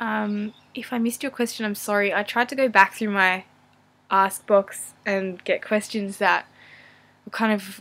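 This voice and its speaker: Speaking with an Australian accent, a woman keeps a fairly slow pace. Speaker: vlogger and university student. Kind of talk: casual Q&A vlog. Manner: hesitant, many fillers.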